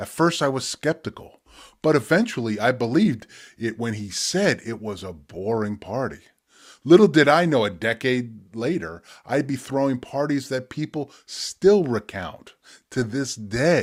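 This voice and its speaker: Speaking fairly slowly with lively intonation, a man uses an unremarkable speaking voice at medium pitch, recorded very cleanly against a silent background. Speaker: spoken word poet. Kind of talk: poetry reading.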